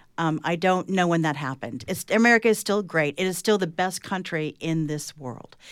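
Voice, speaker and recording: A woman's fairly low voice, a normal speaking voice, with ordinary pitch variation, a fairly quick pace and hardly any pauses, on a very clean recording with a silent background. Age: 50s. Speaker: author and journalist. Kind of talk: panel discussion.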